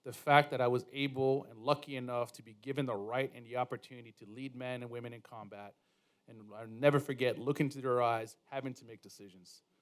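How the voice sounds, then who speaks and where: Speaking very fast in a flat monotone, a man at medium pitch lets his loudness swing widely. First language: not English. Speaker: war veteran and business executive. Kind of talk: panel discussion.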